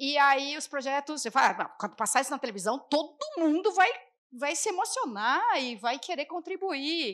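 A high-pitched woman at a moderate pace, her pitch swinging very widely, against a quiet background. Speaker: public manager and activist; panelist, former TV journalist turned public official. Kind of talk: panel debate. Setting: stage with live audience. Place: stage. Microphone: handheld.

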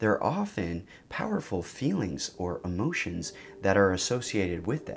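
A man's fairly low voice at a moderate pace. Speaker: psychedelic therapy educator. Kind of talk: explanatory talk to camera. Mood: calm, reflective. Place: studio.

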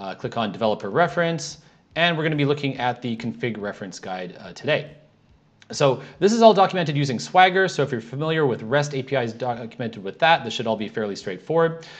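A man talks at a very fast pace, his pitch swinging very widely and his loudness shifting a lot. The background is quiet. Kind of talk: tutorial.

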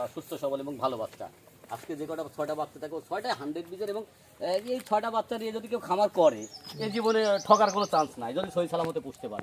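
Over noticeable background noise, the voice moves in very wide pitch swings. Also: man, high pitch for a man. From Bangladesh, Pabna district. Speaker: cattle farmer and seller. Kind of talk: sales pitch.

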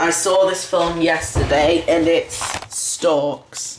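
The speaker has a British accent. Noticeable background noise runs underneath. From UK. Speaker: video collector and reviewer. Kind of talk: casual video review. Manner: halting.

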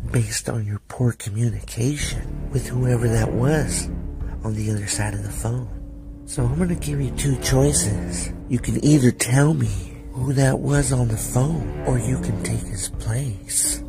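A man uses a put-on character voice with a very deep, low pitch and a calm, menacing tone, with clear music in the background. He speaks at a fairly slow pace with hardly any pauses.

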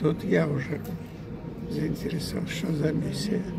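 Loud background noise sits behind a man's voice. He talks at a very slow pace. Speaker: actor. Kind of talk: interview answer. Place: hall. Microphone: phone near.

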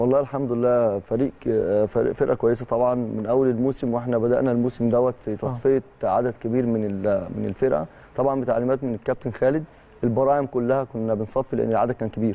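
Fairly quick in pace, a man talks with fairly even intonation. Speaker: youth team football coach. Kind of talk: interview answer. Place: studio. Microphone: lapel.

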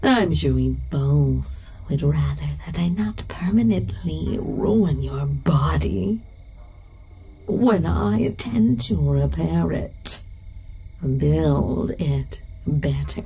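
Over music in the background, a woman speaks at a very slow pace in a menacing, playful tone. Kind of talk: horror narration, scripted second-person story read with a monster character voice. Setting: studio with sound effects and sound design. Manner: menacing, teasing, sing-song taunts with laughs and drawn-out repeated words; slow, deliberate, playful and sinister.

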